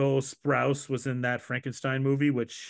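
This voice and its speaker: Against a quiet background, a man with a normal speaking voice and medium pitch speaks at a moderate pace. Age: 30s. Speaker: podcast host. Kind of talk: casual chat.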